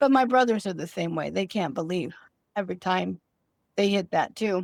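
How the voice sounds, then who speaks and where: A normal speaking voice with lively intonation and a moderate pace, in a very clean recording with a silent background. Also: woman, medium pitch for a woman. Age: 60s. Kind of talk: interview answer.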